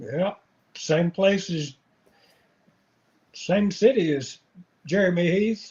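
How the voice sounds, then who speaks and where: A man with an Appalachian accent speaks at a high pitch with ordinary pitch variation. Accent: Southern Appalachian American. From US South, North Carolina mountains. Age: 60s. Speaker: angler. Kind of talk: casual interview.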